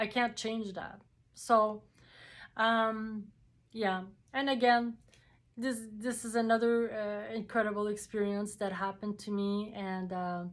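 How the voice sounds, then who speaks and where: The speaker has a non-native accent and a monotone, flat intonation. Long pauses come often. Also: woman, fairly high pitch for a woman, fairly slow pace. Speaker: spiritual video creator. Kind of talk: personal testimony to camera. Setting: talking to a camera. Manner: halting, many fillers and repetitions.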